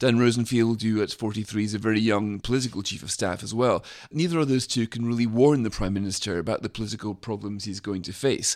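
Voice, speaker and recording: Speech comes at a very fast pace with hardly any pauses, in a British accent. Pitch variation is ordinary. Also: man, medium pitch for a man. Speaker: magazine editor. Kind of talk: political discussion.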